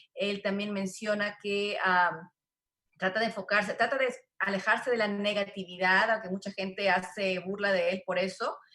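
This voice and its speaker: Fairly quick, monotone and flat delivery with a Spanish accent. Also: woman, medium pitch for a woman. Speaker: real estate show host and interpreter. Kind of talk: interview with live interpretation.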